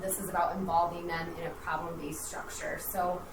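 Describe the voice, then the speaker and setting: A medium-pitched woman with an American accent at a moderate pace, with audible room echo and noticeable background noise. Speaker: school principal and curriculum director. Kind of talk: school board report. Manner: loud, projecting.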